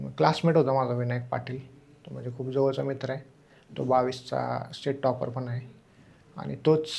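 The man's voice sits at a medium pitch. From Maharashtra, Solapur district (Mohol taluka). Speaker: civil service exam topper, deputy collector. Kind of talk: interview.

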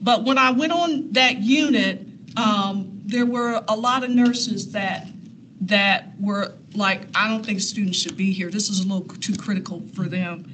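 A woman with an American accent at a fairly slow pace, ordinary pitch variation, and light background noise. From US Midwest, Columbus Ohio west side. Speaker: nurse and clinical instructor; clinical instructor. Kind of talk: personal storytelling talk. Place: meeting room. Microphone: camera far.

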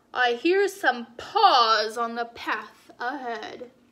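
Putting on a character voice, a woman speaks slowly at a fairly high pitch, with a bright, sharp tone and lively intonation.

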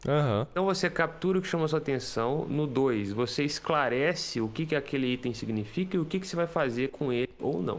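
A man with a Brazilian accent, fairly quick and lively in intonation, with hardly any pauses. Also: fairly high pitch for a man. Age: 20s. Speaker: guitarist and music teacher; music teacher. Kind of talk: casual interview explaining a productivity method. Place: home room.

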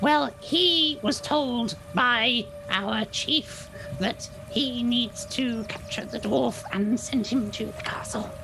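A put-on character voice, female-sounding, speaks at a very slow pace. Background noise is clearly audible. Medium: actual play. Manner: nervous, pleading, rambling.

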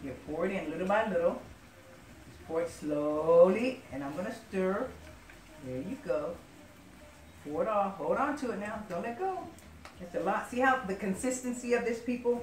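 Amid light background noise and audible room echo, a woman speaks at a moderate pace with big swings in loudness and long, frequent pauses. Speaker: home cook host. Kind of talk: cooking tutorial. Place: kitchen. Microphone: camera far.

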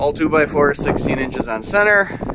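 A man speaking over noticeable background noise. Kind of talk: casual vlog tour. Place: workshop. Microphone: helmet.

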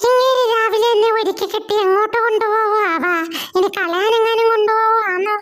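Someone does a put-on character voice at a fairly slow pace while sound effects play in the background. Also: man, extremely high pitch for a man. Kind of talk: comic voice-over dub of animal clips.

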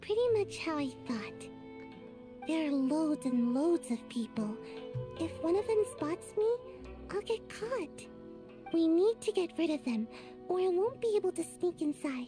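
Over clear background music, a high-pitched put-on character voice moves at a moderate pace, broken by long, frequent pauses. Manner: random put-on character voice.

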